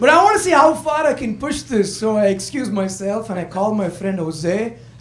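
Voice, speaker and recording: A man with an Indian accent speaks at a moderate pace in a high pitch with lively intonation. Noticeable background noise and audible room echo are present. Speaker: stand-up comedian. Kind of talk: stand-up. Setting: comedy club stage with audience.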